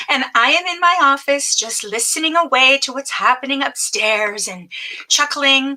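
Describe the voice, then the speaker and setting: A woman with a Canadian accent uses a raised, projected voice, high in pitch, with lively intonation. She keeps a moderate pace amid noticeable background noise. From Ontario, Canada. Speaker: business coach. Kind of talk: live stream training. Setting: home office live stream. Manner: casual, chatty.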